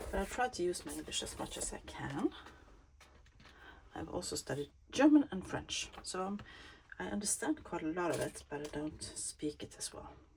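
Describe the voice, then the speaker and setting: A woman speaks in a Swedish accent. Her pace is moderate, with long, frequent pauses. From Sweden. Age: 50s. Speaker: crafting YouTuber. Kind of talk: casual craft-along chat. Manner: halting.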